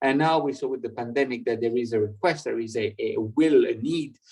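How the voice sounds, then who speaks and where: A man speaks at a moderate pace with a French accent and fairly even intonation. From France. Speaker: European party representative, speaker. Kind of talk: online public lecture. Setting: online video conference. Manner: halting, many fillers and repetitions.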